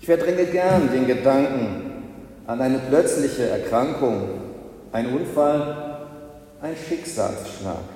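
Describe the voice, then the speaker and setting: Amid noticeable background noise, a fairly high-pitched man talks at a very slow pace with long, frequent pauses. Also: ordinary pitch variation. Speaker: pastor. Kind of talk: sermon in church, delivered to the congregation with a rhetorical build-up. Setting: church.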